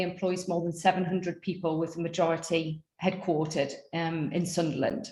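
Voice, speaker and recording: In a North East England accent, a woman speaks at a moderate pace. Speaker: panel moderator. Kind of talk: webinar panel introductions.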